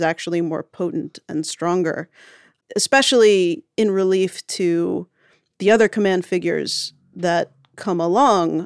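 A woman's unremarkable speaking voice at medium pitch, fairly even in intonation, dry and close with no echo, on a very clean recording with a silent background. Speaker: podcast writer. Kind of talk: casual interview.

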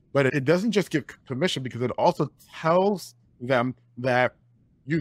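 A man at a medium pitch uses very wide pitch swings and some vocal fry. The sound is dry and close with no echo. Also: long, frequent pauses. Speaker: podcast host. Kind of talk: casual interview.

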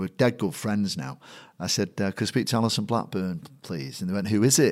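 In a Mancunian accent, a man talks fairly quickly at a fairly low pitch with lively intonation, on a very clean recording with a silent background. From Manchester, England (Chorlton-on-Medlock), Irish family. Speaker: stadium announcer and MC. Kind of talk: casual interview.

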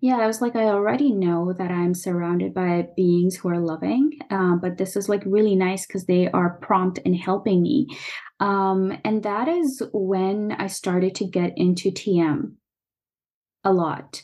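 A woman speaks in a normal speaking voice at medium pitch, with ordinary pitch variation and a fairly slow pace. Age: 30s. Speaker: spiritual consultant and meditation teacher. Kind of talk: casual interview chat.

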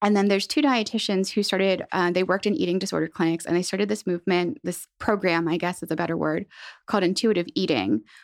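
A woman's very fast speech with vocal fry, in a dry, close sound with no echo. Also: medium pitch for a woman, ordinary pitch variation, very clean recording, silent background. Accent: General American. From central Pennsylvania. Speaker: dietitian. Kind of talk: interview.

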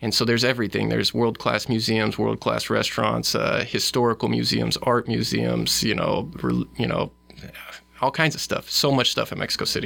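Over noticeable background noise, a man with a Midwestern US accent speaks at a moderate pace and at very even loudness. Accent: US Midwest. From Omaha, Nebraska. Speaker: lawyer and scholarship founder. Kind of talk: interview conversation.

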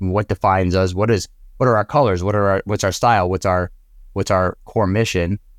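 In a very clean recording with a silent background, a man with a normal speaking voice and fairly low pitch talks at a fairly quick pace with fairly even intonation, the sound dry and close with no echo. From Italian-American family. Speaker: marketing podcast host. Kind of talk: casual interview.

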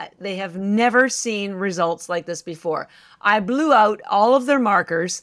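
In a very clean recording, silent background, a woman with an unremarkable speaking voice talks at a moderate pace. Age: 60s. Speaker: company founder. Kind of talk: casual interview chat.

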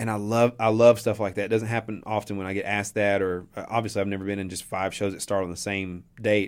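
A man talks at a very fast pace in an Appalachian accent. He hardly pauses at all. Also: fairly low pitch for a man. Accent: Appalachian Southern US. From East Tennessee (Johnson City). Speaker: local artist. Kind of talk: radio interview. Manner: animated.

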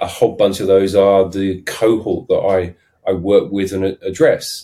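A man is speaking. He has a southern English accent. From London, then English south coast. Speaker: startup advisor and sales consultant. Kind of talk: casual interview chat.

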